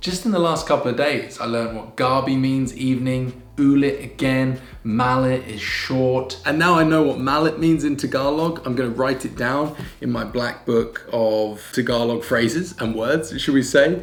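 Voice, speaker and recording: A man with a British accent speaks at medium pitch with hardly any pauses. Noticeable background noise runs behind him. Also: ordinary pitch variation, moderate pace. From United Kingdom. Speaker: vlogger. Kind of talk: casual talk to camera.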